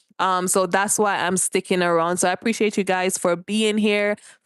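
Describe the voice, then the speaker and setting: A woman with a Jamaican accent, flat and monotone, dry and close with no echo, against a quiet background. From Jamaica, rural. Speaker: live streamer. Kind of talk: casual livestream chat. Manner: chatty, informal.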